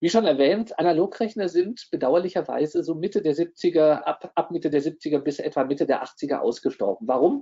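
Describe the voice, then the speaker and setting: Against a quiet background, a man talks in a high-pitched voice. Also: lively intonation, moderate pace. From Bavaria/Swabia, Germany (Neu-Ulm); Bavaria, Germany. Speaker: professor. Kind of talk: lecture. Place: home room.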